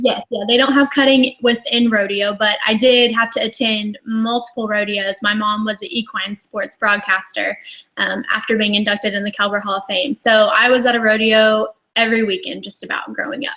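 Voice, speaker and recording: With a Texas accent, a woman speaks at a fairly high pitch. Her intonation is fairly even and her pace moderate. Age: 20s. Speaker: cutting horse champion rider. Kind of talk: interview on live online show.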